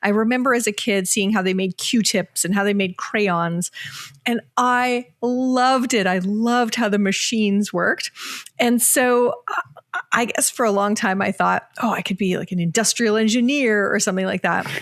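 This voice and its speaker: Over noticeable background noise, a fairly high-pitched woman with a slight Canadian accent speaks at a moderate pace with very even loudness and ordinary pitch variation. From Canada, Ontario. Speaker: organizational psychologist and author. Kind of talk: podcast interview.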